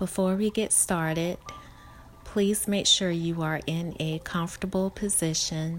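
A woman speaks in a calm, soothing tone at a fairly low pitch with fairly even intonation. Noticeable background noise runs behind her. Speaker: meditation guide. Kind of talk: guided meditation. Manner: slow, calm, soothing, gentle pacing with long pauses; soft-spoken and reassuring.

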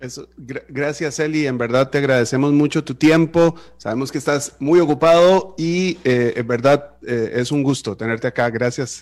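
This man has a plain, everyday voice at a fairly high pitch with ordinary pitch variation. He speaks at a moderate pace with hardly any pauses. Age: 30s. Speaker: radio host. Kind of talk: radio interview.

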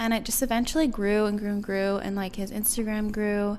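A woman's voice at medium pitch and moderate pace. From Guam. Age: 20s. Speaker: business owner and model. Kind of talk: casual interview chat.

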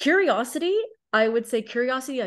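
A woman with a plain, everyday voice, lively intonation, and a moderate pace, set against a quiet background. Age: 30s. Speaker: life and business coach. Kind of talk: casual chat.

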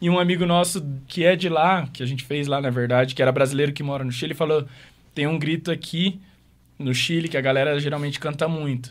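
Here is a man with an unremarkable speaking voice and a fairly high pitch. He speaks at a fairly quick pace with fairly even intonation. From Maringá, Paraná, Brazil. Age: 20s. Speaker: DJ and music producer. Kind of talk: casual interview.

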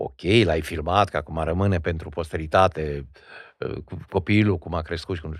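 Very deep and low in pitch, a man's voice moves at a moderate pace. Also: fairly even intonation. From Old Kingdom Romania (Regat). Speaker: stage and film actor. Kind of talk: interview conversation. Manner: academic, formal.

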